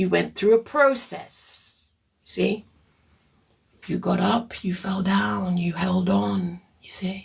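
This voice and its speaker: Very slow and marked by long, frequent pauses, the speech carries a Caribbean accent. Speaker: therapist. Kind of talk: live stream talk answering viewer comments. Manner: animated.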